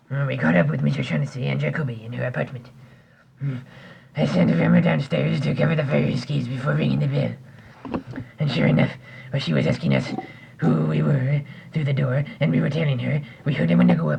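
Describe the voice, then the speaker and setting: Using a put-on character voice, a man speaks at a fairly quick pace in a raspy, very deep, low register, with very wide pitch swings and long, frequent pauses. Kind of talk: amateur 1940s-style radio acting. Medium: audio drama. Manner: florid, hesitant, many 'uh's, overly polite 'sir'.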